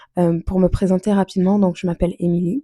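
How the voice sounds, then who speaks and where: Somewhat breathy and dark, mellow in tone, a woman speaks at medium pitch with monotone, flat intonation, the sound dry and close with no echo. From France. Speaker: budgeting vlogger. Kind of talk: casual vlog talk. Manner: hesitant, many fillers.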